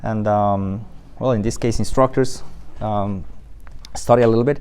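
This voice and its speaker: A man with a Spanish accent and fairly even intonation, in audible room echo. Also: fairly low pitch for a man, moderate pace. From Colombia. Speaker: flight school admissions staff and flight instructor. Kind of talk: guided tour. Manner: hesitant, many fillers.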